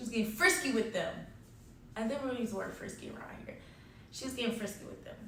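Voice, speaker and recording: Amid noticeable background noise and audible room echo, a woman with a fairly high pitch talks in an animated tone at a very fast pace, broken by long, frequent pauses. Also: ordinary pitch variation, big swings in loudness. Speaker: storytime vlogger. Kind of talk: storytime monologue.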